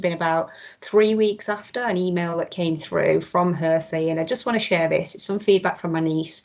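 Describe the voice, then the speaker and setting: A woman with a Mancunian accent talks at a fairly quick pace. Her pitch is fairly low and her intonation fairly even. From Manchester, northern England. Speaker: tech company trainer presenting skills resources. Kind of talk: online presentation with demo. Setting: video call. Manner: casual, with frequent fillers.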